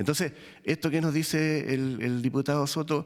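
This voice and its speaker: The very clean recording with a silent background captures a man with a fairly high pitch. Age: 60s. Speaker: prison officers' union representative. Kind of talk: testimony before a parliamentary committee. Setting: parliamentary committee hearing. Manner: halting, with fillers and restarts; formal.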